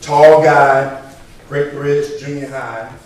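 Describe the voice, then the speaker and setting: Through noticeable background noise and audible room echo, a man with a Southern US accent talks at a very slow pace. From Virginia (Chesapeake). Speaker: state trooper, guest speaker. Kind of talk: motivational speech. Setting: church hall banquet. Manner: loud, projecting.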